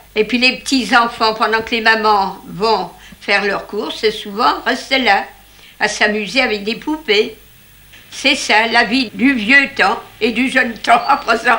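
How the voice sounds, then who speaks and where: A woman speaks at a very slow pace. Her pitch is fairly high, and her intonation stays fairly even. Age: 80s+. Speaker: retired hat seller. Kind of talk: interview. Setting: in her old shop.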